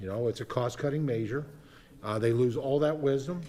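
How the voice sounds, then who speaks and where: A somewhat breathy male voice at a moderate pace. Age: 60s. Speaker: congressman. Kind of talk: committee debate. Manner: halting, many fillers.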